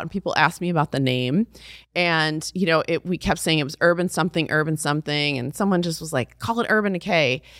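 With an American accent and a normal speaking voice, a woman talks at a fairly low pitch and fairly quick pace with ordinary pitch variation. The sound is dry and close with no echo, on a very clean recording with a silent background. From Texas (Fort Worth), high school in Brussels. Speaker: beauty brand founder. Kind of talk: interview.

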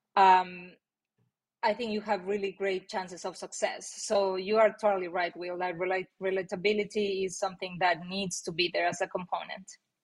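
In a Mexican accent, a woman speaks. Her intonation is monotone and flat. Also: medium pitch for a woman, moderate pace. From Mexico. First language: Spanish. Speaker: marketing executive. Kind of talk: interview. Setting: video call.

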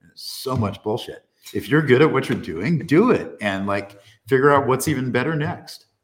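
With an American accent and a normal speaking voice, the speaker talks at a moderate pace with lively intonation and big swings in loudness. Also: man, medium pitch for a man. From California. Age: 60s. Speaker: data and AI technologist. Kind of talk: casual chat. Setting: castle in Germany.

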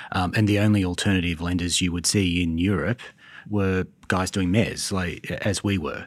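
On a very clean recording with a silent background, a man with an Australian accent speaks at a very deep, low pitch. He holds a moderate pace in a monotone, flat intonation. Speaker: private credit investment executive.

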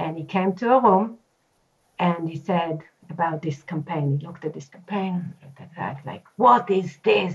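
Somewhat breathy and fairly low-pitched, a woman speaks at a fairly slow pace with ordinary pitch variation. She leaves long, frequent pauses, and her loudness swings widely. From Israel. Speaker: marketing executive. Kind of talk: interview.

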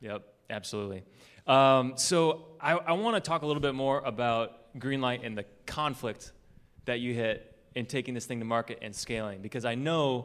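This man has a plain, everyday voice, medium in pitch with ordinary variation, delivered at a moderate pace. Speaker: podcast host. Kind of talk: live podcast interview. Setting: stage with audience.

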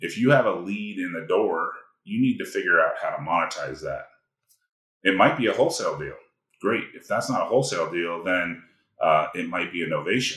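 Audible room echo fills the space as a man talks at a fairly quick pace with big swings in loudness. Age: 50s. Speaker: real estate investor. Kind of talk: interview.

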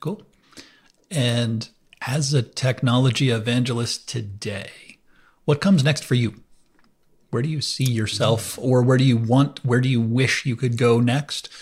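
The voice is somewhat breathy. Long pauses come often. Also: man, medium pitch for a man, fairly even intonation, fairly slow pace, very clean recording, silent background. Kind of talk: casual interview chat.

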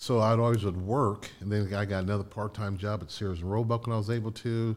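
An ordinary speaking voice, a man's, fairly low in pitch with ordinary pitch variation and a fairly quick pace. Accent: American. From Indiana, Connersville. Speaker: business consultant. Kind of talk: interview storytelling. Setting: studio.

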